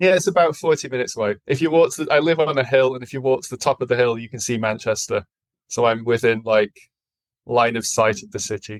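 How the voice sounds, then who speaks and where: Talking very fast with a northern English accent, a man at a medium pitch shows ordinary pitch variation and big swings in loudness, in a dry, close sound with no echo. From northern England (Accrington, Lancashire). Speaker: podcast guest, former heavy metal drummer. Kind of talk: casual chat.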